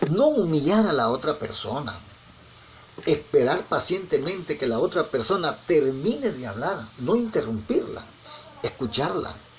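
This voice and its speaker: Over noticeable background noise, a man with fairly high pitch speaks at a fairly slow pace with very wide pitch swings. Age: 60s. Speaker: preacher. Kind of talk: sermon. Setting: recorded message sent over WhatsApp.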